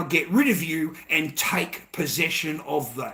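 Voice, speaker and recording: A man speaks in an animated tone with a high pitch. His pitch variation is ordinary, and there is noticeable background noise. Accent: strong Australian. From Australia. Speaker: livestreamer. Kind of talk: casual monologue.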